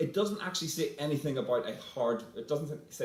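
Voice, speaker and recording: At a fairly quick pace, a somewhat breathy voice makes very wide pitch swings, with audible room echo. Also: man. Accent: Northern Irish. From Northern Ireland, Belfast. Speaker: panelist, academic fellow. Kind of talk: panel talk. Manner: halting, many fillers.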